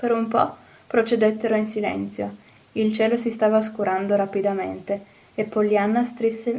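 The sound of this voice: An unforced reading voice carries fairly even intonation from start to finish.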